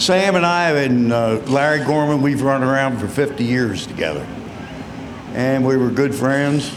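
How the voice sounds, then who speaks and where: Against noticeable background noise and audible room echo, a man with an American accent speaks at a moderate pace and very even loudness, his medium pitch showing ordinary variation. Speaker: retired race car driver. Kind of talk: PA interview at race track.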